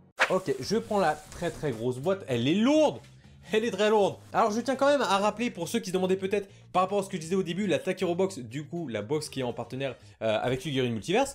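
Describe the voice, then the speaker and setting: Animated and very fast, a man talks in a high pitch with very wide pitch swings. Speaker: YouTuber. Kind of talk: unboxing video.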